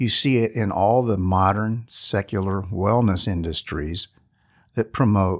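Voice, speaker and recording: In an ordinary speaking voice, a man talks at a fairly slow pace and fairly low pitch with ordinary pitch variation against a quiet background. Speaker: podcast host and meditation teacher. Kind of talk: guided meditation. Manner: slow, soft-spoken, calm and soothing; gentle, unhurried with long pauses.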